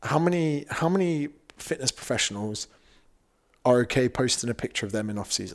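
Pausing long and often, a man with a southern English accent talks at a fairly quick pace and medium pitch with lively intonation. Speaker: fitness coach and author. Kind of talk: casual chat.

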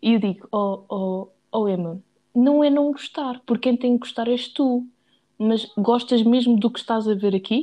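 A dark, mellow tone in a European Portuguese accent, with ordinary pitch variation, a fairly slow pace and a quiet background. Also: woman. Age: 20s. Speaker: podcast co-host. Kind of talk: casual chat.

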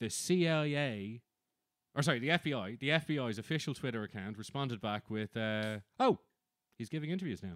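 A man's medium-pitched, ordinary speaking voice with lively intonation at a fairly quick pace. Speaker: podcast host. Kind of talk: casual banter chat. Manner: profane, joking.

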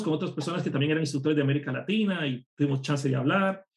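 This man's voice sits at a fairly high pitch, somewhat breathy, with ordinary pitch variation. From Costa Rica. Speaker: programming instructor. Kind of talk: casual interview chat. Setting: home office, remote call.

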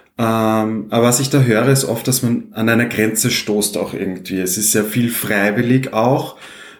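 Speaking at a fairly slow pace against audible room echo, a man with a medium-pitched voice keeps his intonation fairly even. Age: 20s. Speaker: podcast host. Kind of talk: interview.

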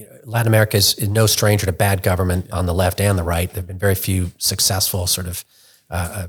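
A man's fairly low, somewhat breathy voice at a very fast pace, in a very clean recording with a silent background. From London, England. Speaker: think tank researcher, former lawyer. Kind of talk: interview podcast.

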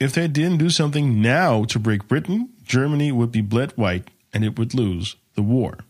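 An ordinary speaking voice keeps a moderate pace, its intonation lively throughout. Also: man. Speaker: podcast host narrating history. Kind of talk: history documentary narration, scripted and informative. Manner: measured, steady, formal storytelling pace.

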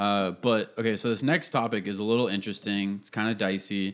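The speaker is a man with fairly low pitch. His intonation is fairly even. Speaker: podcast host. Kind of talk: casual chat. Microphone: new mic.

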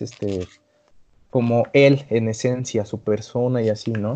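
This man's voice sits at medium pitch and has a dark, mellow tone. He keeps a moderate pace and fairly even intonation. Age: young. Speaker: podcast co-host. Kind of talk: casual chat.

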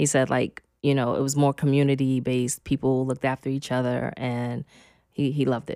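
In a New York accent, a woman speaks fairly quickly in a very deep, low, dark and mellow voice with monotone, flat intonation, recorded dry and close with no echo and a silent, very clean background. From Red Hook, Brooklyn, New York. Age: 30s. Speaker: podcast host. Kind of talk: interview.

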